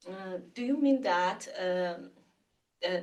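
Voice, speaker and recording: A woman with an Iranian accent, at a very slow pace. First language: Farsi. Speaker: researcher presenting a talk. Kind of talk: Q&A after lecture. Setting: webinar. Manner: halting, many fillers.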